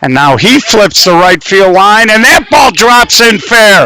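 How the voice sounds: A man speaks at a fairly slow pace in a high pitch, his tone clear, smooth, bright and sharp, with lively intonation.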